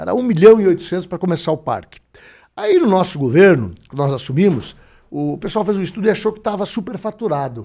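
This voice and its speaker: A man with a dark, mellow tone speaks at a fairly quick pace with lively intonation. The recording is very clean, with a silent background. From Brazil, Paraná (Ponta Grossa). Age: 60s. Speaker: politician and broadcaster. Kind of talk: interview.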